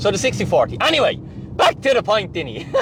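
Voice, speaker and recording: Over noticeable background noise, a man with an Irish accent speaks at a very fast pace in an animated tone. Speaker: finance and crypto YouTuber. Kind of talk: direct-to-camera monologue.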